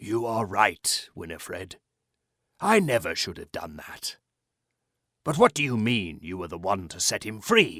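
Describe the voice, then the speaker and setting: Using a put-on character voice, a man sounds raspy at medium pitch with lively intonation and a moderate pace. Long, frequent pauses break it up, on a very clean recording with a silent background. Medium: read story.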